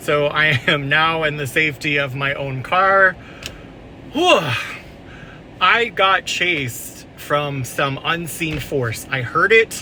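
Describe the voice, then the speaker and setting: Amid noticeable background noise, a man with a fairly high voice speaks at a very slow pace and leaves long, frequent pauses. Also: ordinary pitch variation. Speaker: paranormal investigator YouTuber. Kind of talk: vlog, on-location investigation recap. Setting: in a car. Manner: loud, yelling.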